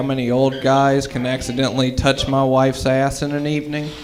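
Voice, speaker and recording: In a room with audible echo and noticeable background noise, a man talks at a moderate pace and medium pitch with monotone, flat intonation. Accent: American. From US South (Mississippi). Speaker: stand-up comedian. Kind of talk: stand-up. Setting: stage with audience.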